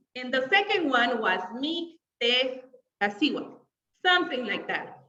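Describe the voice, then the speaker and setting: A woman's raised, projected voice, high-pitched with very wide pitch swings and a Spanish accent, over music in the background. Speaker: English teacher. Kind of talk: online class livestream. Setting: live video stream with chat. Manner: casual, filler-heavy.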